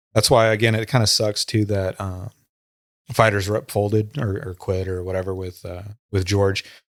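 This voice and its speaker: The man talks at a moderate pace in a monotone, flat intonation, recorded very cleanly over a silent background. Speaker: former muay thai gym co-founder, fight page admin. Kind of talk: casual podcast chat.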